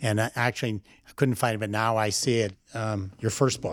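In a very clean recording with a silent background, a man talks fairly quickly in a normal speaking voice at a medium pitch. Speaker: podcast host and art advisor. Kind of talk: casual interview conversation.

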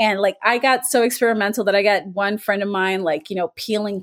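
A woman's fairly high voice at a very fast pace. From Miami, US. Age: 40s. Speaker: documentary filmmaker. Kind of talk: interview.

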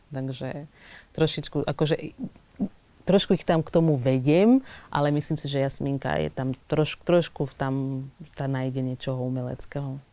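A woman with a Portuguese accent, very deep and low in pitch, dark and mellow in tone, at a moderate pace, with fairly even intonation and big swings in loudness. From Angola. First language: Portuguese (speaking Slovak). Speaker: actress. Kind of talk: interview. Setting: studio.

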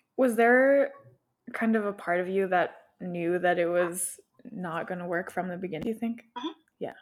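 A soft-spoken woman talks at a moderate pace. Her voice sits at medium pitch with ordinary variation. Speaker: podcast host. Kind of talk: interview, casual conversation.

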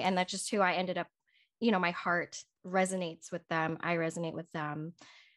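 Her intonation fairly even and her pitch medium, a woman speaks with an American accent. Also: quiet background. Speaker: podcast host and personal stylist. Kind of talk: casual interview chat.

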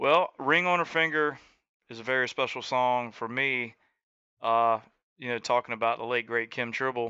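A man with a Southern US accent speaks at a medium pitch and a moderate pace, his tone bright and sharp. His intonation is fairly even, broken by long, frequent pauses, over a quiet background. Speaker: country singer and entrepreneur. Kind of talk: radio interview, casual chat.

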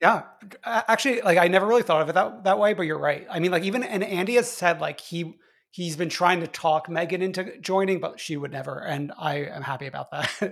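A man with an American accent speaks at a fairly quick pace. His pitch is high, with ordinary variation. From New York. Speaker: podcast co-host. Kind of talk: casual chat.

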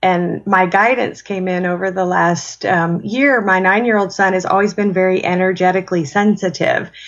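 A woman with a normal speaking voice talks at a moderate pace and a medium pitch, with fairly even intonation. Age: 40s. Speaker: spiritual mentor and author. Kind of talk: interview.

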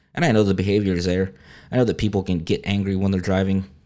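With a Texan accent, a man with a fairly low pitch and a dark, mellow tone talks at a very fast pace with fairly even intonation, on a very clean recording with a silent background. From South Texas. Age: 30s. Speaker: news podcast host. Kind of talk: casual news reading.

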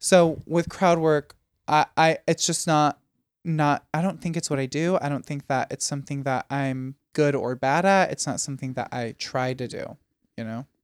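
A man with an American accent speaks at a moderate pace, his pitch fairly high and his intonation fairly even. The very clean recording has a silent background and a dry, close sound with no echo. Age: 20s. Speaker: stand-up comedian. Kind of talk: casual chat.

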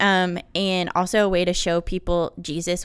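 A woman with an American accent, fairly low-pitched and monotone with flat intonation, at a moderate pace on a very clean recording with a silent background. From North Carolina. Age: 20s. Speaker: flight attendant and author. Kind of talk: interview.

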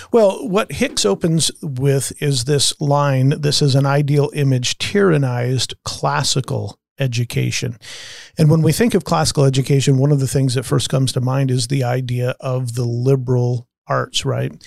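Here a man speaks at medium pitch and a moderate pace, somewhat breathy. His pitch varies in an ordinary way, and the sound is dry and close with no echo. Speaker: podcast host. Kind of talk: casual discussion of a book.

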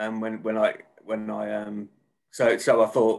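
A man with a Birmingham accent. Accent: Birmingham (Brummie). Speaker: author. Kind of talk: casual interview chat.

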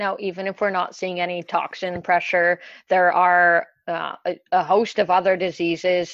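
A woman's fairly low pitch, monotone and flat, at a fairly slow pace. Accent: Canadian. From Ontario, Canada. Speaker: dairy specialist. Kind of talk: podcast interview.

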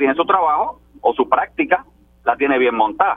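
Lively intonation marks a man speaking at a fairly quick pace. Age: 50s. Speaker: legislator. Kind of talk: political panel discussion. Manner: animated.

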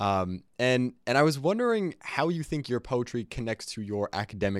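A man speaks in a normal speaking voice at a moderate pace, with lively intonation. The sound is dry and close with no echo, on a very clean recording with a silent background. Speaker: student podcast host. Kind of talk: casual interview.

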